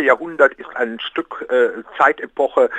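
A man's voice with a dry, close sound and no echo. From Rhineland, Aachen. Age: 60s. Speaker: project initiator. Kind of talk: interview.

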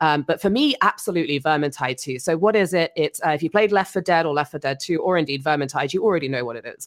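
Very fast and in an English accent, a woman speaks at a fairly low pitch, the sound dry and close with no echo. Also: ordinary pitch variation. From England. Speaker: former video content producer. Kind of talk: casual chat.

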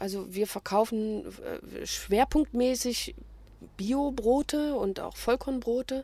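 A woman's dark, mellow, fairly high voice at a very slow pace with ordinary pitch variation. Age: 50s. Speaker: small business owner selling day-old bread. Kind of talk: interview. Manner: hesitant with filler sounds.

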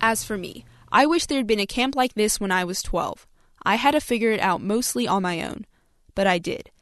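A woman speaks in a normal speaking voice with an American accent. Her pitch is fairly high and her intonation lively. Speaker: youth reporter. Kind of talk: interview chat, with narrated story.

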